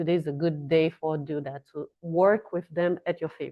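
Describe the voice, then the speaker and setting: Speaking with a Brazilian Portuguese accent, a woman uses a fairly low pitch for a woman. Her pace is fairly slow and her intonation monotone and flat. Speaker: astrology and tarot reader. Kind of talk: casual astrology forecast monologue. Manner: halting, with fillers and restarts.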